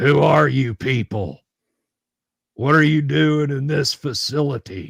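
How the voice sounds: In a gravelly, put-on character voice, a man talks at a fairly slow pace with a medium pitch and long, frequent pauses, the sound dry and close with no echo.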